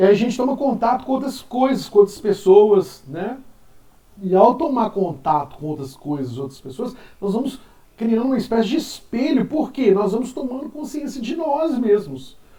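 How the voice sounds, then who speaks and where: A man talks at a moderate pace with an extremely high pitch, very wide pitch swings and big swings in loudness. Noticeable background noise sits behind him. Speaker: philosophy teacher. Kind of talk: lecture. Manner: casual.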